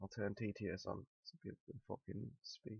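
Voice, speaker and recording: A man with a British accent keeps a moderate pace. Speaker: news commentary streamer. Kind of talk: live stream commentary. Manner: casual, rambling with hesitations.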